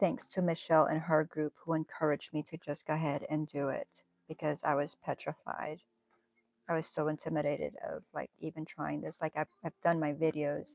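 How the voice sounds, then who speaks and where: The voice has vocal fry and monotone, flat intonation. The sound is dry and close, with no echo. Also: woman, very deep, low pitch for a woman. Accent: American. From northern US. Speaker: crochet and knitting livestreamer. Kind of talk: casual livestream chat while crafting. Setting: livestream. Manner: slow.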